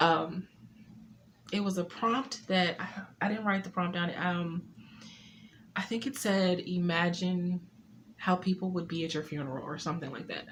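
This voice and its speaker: Speaking at a moderate pace with long, frequent pauses, a woman sounds shaky and somewhat breathy, her fairly low voice showing ordinary pitch variation. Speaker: poet and author. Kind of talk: casual talk to camera. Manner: slightly shaky.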